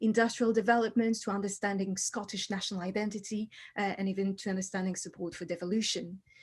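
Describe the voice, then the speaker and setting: Against a quiet background, a woman talks in a French accent, her voice somewhat breathy. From France. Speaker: historian. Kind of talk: book launch talk.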